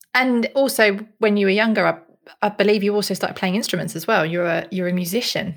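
A woman talks at a very fast pace. Her pitch is medium, with ordinary pitch variation. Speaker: podcast co-host and head of production. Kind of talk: casual chat with scripted intro.

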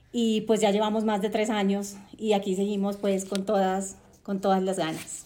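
There is audible room echo as a woman speaks at a moderate pace and medium pitch with monotone, flat intonation. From Colombia, Cartagena (Caribbean coast). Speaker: podcast host, journalist and entrepreneur. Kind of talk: podcast monologue. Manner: hesitant, many fillers.

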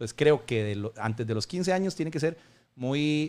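Recorded very cleanly against a silent background, a man has an ordinary speaking voice, a medium pitch, ordinary pitch variation and a moderate pace. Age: 40s. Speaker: football fitness coach. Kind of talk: casual interview. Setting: room with rain noise.

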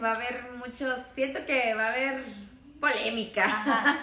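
A woman with a high pitch speaks fairly slowly and with fairly even intonation. Audible room echo and noticeable background noise are present. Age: 20s. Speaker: podcast co-host. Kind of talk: casual chat.

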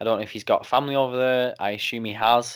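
Here a man talks at a moderate pace with an English accent. His intonation is fairly even, and the recording is very clean with a silent background. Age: 20s. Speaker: wrestling podcaster. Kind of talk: casual chat.

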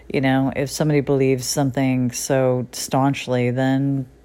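A woman with an American accent speaks at a very deep, low pitch. Her tone is dark and mellow, and her intonation is monotone and flat. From US Northeast, Connecticut. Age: middle-aged. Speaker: podcaster and writer. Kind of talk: personal monologue, reflective solo talk. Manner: halting, hesitant with many fillers.

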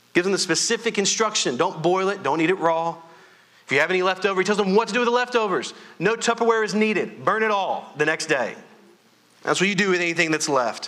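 A loud, bright, sharp-toned voice at a very fast pace, with ordinary pitch variation. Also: man, high pitch for a man. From Louisiana. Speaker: pastor. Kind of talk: sermon. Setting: church.

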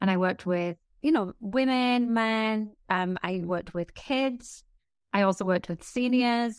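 A fairly slow pace and ordinary pitch variation. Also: woman, fairly high pitch for a woman. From northeast England. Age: 50s. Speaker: fitness and menopause health expert, author. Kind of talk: casual interview chat. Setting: video call.

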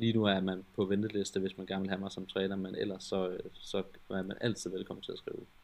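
In a fairly low pitch, a man speaks at a fairly quick pace with monotone, flat intonation. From West Jutland, Denmark. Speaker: personal trainer. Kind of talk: interview. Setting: online call. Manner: halting, many filler words.

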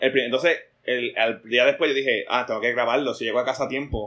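A man's plain, everyday voice, medium in pitch, fairly quick in pace, with fairly even intonation. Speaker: artist. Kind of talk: casual chat.

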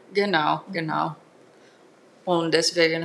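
A woman with a Finnish accent over noticeable background noise. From Finland, Turku. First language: Finnish (speaking German). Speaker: singing teacher and metal musician. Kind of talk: interview.

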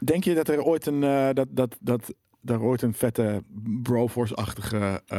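Speaking at a fairly slow pace, a man with a plain, everyday voice keeps a medium pitch, ordinary pitch variation and very even loudness in a dry, close sound with no echo. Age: 30s. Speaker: gaming show host. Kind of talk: casual chat.

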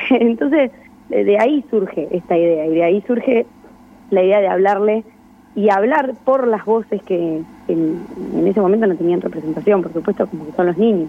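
Noticeable background noise sits behind the speech. A woman talks at a moderate pace. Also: medium pitch for a woman, lively intonation. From Argentina, Buenos Aires province (Verónica). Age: 20s. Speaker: filmmaker. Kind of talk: radio interview.

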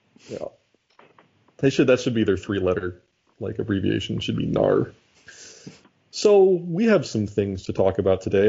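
At a moderate pace, a man talks in a plain, everyday voice at medium pitch with lively intonation. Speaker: podcast host. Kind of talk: casual chat.

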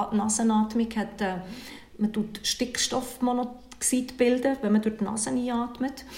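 Over noticeable background noise, a woman with a fairly high pitch talks at a moderate pace in a monotone, flat way. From Switzerland, Bern. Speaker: cold-water bathing instructor and coach. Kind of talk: interview.

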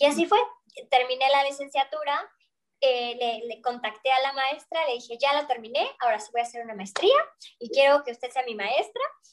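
Her high-pitched voice showing ordinary pitch variation and big swings in loudness, a woman speaks at a moderate pace. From Mexico. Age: young. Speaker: opera singer. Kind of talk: interview.

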